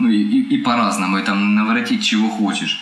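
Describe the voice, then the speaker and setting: Speaking at a fairly quick pace with very wide pitch swings, this voice comes through noticeable background noise and audible room echo. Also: man. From Ukraine, Kryvyi Rih. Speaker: saxophonist. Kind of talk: casual interview chat.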